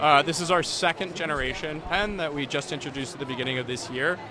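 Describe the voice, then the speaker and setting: The sound is dry with no echo, yet noticeable background noise is present as a man speaks with ordinary pitch movement. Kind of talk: interview answer. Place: hall. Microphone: handheld.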